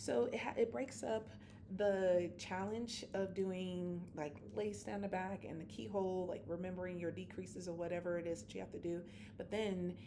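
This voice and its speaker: A woman with a fairly low voice and a dark, mellow tone speaks at a moderate pace with lively intonation, and audible room echo surrounds her. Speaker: knitting vlogger. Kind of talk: casual chat. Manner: halting, many fillers.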